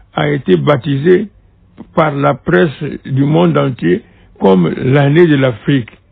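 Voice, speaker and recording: A man at medium pitch, with very wide pitch swings. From Republic of the Congo (Brazzaville). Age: 80s+. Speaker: former minister and diplomat, witness. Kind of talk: interview testimony. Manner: halting, with many hesitations.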